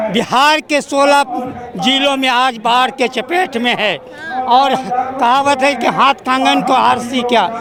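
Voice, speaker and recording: A man's extremely high, raised and projected voice, fairly even in intonation and very even in loudness, over noticeable background noise. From Bihar, Katihar. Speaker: party supporter at rally. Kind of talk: street interview.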